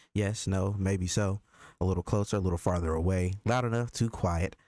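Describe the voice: Plain reading aloud is all that is heard.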